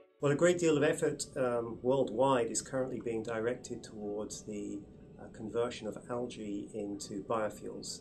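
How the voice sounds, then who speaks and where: A man with an English accent, medium in pitch, at a moderate pace. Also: ordinary pitch variation. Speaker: research scientist. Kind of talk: interview explanation. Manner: hesitant, many fillers.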